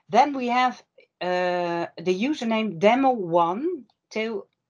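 Very slowly and with lively intonation, a woman with a Dutch accent speaks in a fairly high voice against a quiet background. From Netherlands. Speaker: workshop presenter; presenter. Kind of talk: online workshop presentation. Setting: video call. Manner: apologetic about English, hesitant. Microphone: video call.

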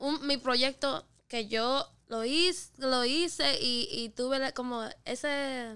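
A woman's raised, projected voice, high and bright and sharp, at a very slow pace with hardly any pauses and ordinary pitch variation, against a quiet background. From Puerto Rico (Carolina, Dorado); Puerto Rico. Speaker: singer and rapper; podcast guest. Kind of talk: casual chat. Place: studio. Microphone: studio mic.

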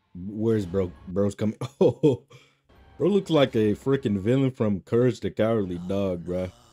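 A man's voice with ordinary pitch variation over faint music in the background. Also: fairly low pitch for a man, moderate pace. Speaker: streamer reacting to video. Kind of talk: casual reaction commentary. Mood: amused, joking. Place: home room. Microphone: studio mic.

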